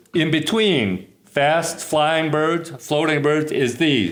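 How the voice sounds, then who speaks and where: Speaking very slowly with an American accent, a man uses a fairly high pitch amid audible room echo. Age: 70s. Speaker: retired teacher and hawk watch leader. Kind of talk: interview explanation. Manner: halting.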